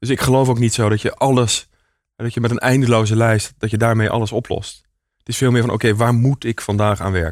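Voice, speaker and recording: In a very clean recording with a silent background, a man talks at a very fast pace. His medium-pitched voice stays monotone and flat. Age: 30s. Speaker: entrepreneur. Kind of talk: interview. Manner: hesitant, many fillers.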